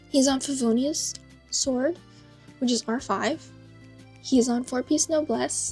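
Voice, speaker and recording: With music in the background, a woman talks at a fairly slow pace, leaving long, frequent pauses. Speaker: gacha game player. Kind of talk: casual game account tour voiceover.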